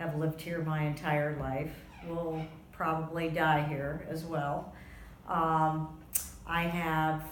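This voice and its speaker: Very slowly, a woman speaks at a very deep, low pitch in a monotone, flat intonation. Audible room echo and noticeable background noise fill the recording. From US South, Florida (West Palm Beach). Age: 60s. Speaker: interviewee, grandmother. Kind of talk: oral history interview.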